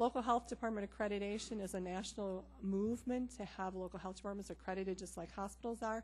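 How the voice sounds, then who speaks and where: A somewhat breathy woman at medium pitch, talking at a very fast pace. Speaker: public health official. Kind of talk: presentation.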